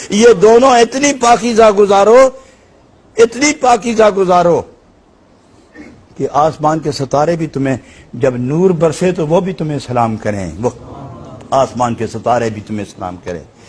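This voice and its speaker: A man speaks at a high pitch with very wide pitch swings. Noticeable background noise runs under the voice. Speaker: religious scholar. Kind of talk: Islamic sermon (bayan) to a live audience. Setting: mosque or hall with live audience. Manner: passionate, emotive, oratorical.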